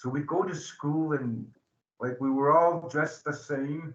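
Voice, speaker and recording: At a fairly slow pace, a man talks in a somewhat breathy, fairly high voice with ordinary pitch variation. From southern Alberta, Blackfoot reserve. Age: 60s. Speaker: addiction recovery advocate. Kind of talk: public talk. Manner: halting, many fillers.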